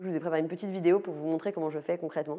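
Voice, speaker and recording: With fairly even intonation, a woman speaks in a very deep, low voice. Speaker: product manager giving a talk. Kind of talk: live talk to audience. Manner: fast.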